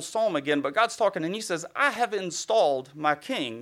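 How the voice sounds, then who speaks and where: Very clean recording with a silent background, featuring an American accent. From US South. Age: young. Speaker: guest preacher. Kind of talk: sermon. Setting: church.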